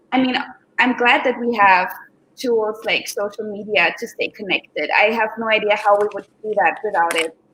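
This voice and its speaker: With an Austrian accent, a woman speaks at a fairly high pitch. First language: German. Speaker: professional dancer and aerial acrobat. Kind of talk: live interview. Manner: hesitant with many fillers.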